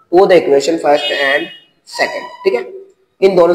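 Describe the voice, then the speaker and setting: Fairly even intonation from a man with a high pitch. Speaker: teacher. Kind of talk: lecture.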